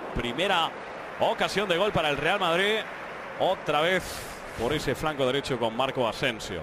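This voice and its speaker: The voice moves at a moderate pace with lively intonation and very even loudness, broken by long, frequent pauses. Background noise is noticeable. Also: man, fairly high pitch for a man. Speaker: football match commentator. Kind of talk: live football commentary.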